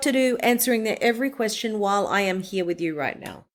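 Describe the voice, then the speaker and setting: At a fairly quick pace, a woman speaks with ordinary pitch variation on a very clean recording with a silent background. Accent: Australian. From Australia. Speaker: voice-over artist. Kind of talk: interview answer.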